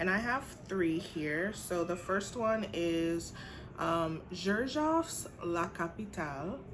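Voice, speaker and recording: A woman speaks very slowly in a fairly low voice, her intonation lively. The room echo is audible. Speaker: teacher and beauty vlogger. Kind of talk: casual vlog haul review. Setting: home apartment.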